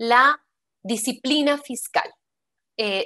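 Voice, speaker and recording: A woman speaks at a very slow pace with ordinary pitch variation. Her tone is bright and sharp. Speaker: public infrastructure finance expert, panelist. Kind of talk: panel discussion.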